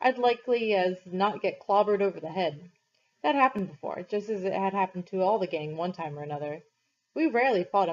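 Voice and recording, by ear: The background stays quiet. The text is read aloud in a natural voice whose intonation is lively.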